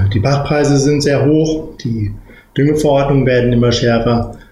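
Backed by music and audible room echo, a man with a medium pitch speaks at a fairly slow pace with fairly even intonation and very even loudness. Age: 40s. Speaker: managing director of a cattle genetics company. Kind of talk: interview.

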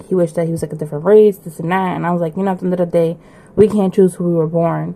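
This woman speaks at a fairly low pitch. Her intonation stays fairly even. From Puerto Rican background, US. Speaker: listener sending a recorded message. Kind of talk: recorded personal story.

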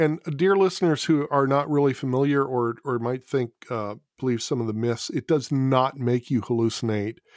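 In a very clean recording with a silent background and a dry, close sound with no echo, a man talks at a moderate pace and medium pitch with ordinary pitch variation, in an ordinary speaking voice. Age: 50s. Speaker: podcast host. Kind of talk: casual chat. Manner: jokey, laughs often.

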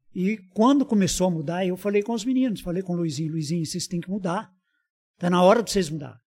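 Speaking at a fairly quick pace, a man has a high pitch and a dark, mellow tone. His intonation is lively. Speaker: shopkeeper. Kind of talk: casual chat.

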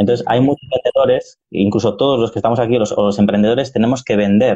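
At a medium pitch, a man speaks. His pace is very fast. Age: 40s. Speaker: podcast host. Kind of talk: interview. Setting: live stream.

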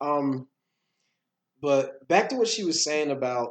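Against a quiet background, a man with an American accent speaks fairly slowly in a fairly high voice with lively intonation, an unremarkable speaking voice. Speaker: podcast host and motivational speaker. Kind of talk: casual conversation podcast discussion.

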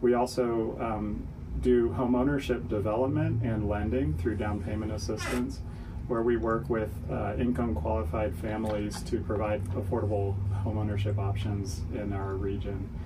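Over noticeable background noise, a man with a fairly low pitch and ordinary pitch variation speaks at a moderate pace. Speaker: nonprofit CEO. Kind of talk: radio interview.

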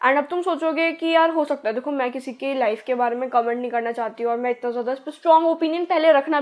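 A woman is speaking here. Her intonation is lively. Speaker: podcast host. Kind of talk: casual monologue. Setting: home recording, changed room. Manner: put-on energetic.

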